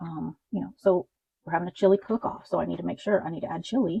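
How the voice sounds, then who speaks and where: A woman speaks at a very fast pace. Her voice has vocal fry. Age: 50s. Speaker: budgeting content creator. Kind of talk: casual talk to camera.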